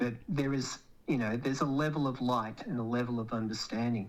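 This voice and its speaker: A man speaks with an Australian accent at a moderate pace. His pitch sits in the medium range and varies in an ordinary way. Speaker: economic commentator. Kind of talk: interview. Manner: hesitant, with fillers.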